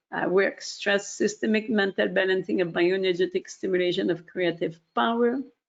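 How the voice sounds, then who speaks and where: At a moderate pace, the speaker talks with vocal fry. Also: woman. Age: 60s. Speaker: webinar presenter. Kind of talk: product webinar presentation. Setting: online webinar. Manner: hesitant, many fillers.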